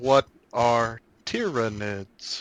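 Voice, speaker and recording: In a put-on character voice, a man holds a medium pitch. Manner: flat monotone.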